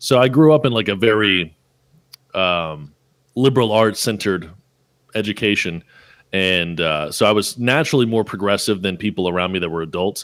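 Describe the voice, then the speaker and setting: A man with a slight Southern US accent speaks in a fairly low voice with lively intonation and long, frequent pauses, recorded very cleanly against a silent background. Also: moderate pace. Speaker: podcast host. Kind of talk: casual chat.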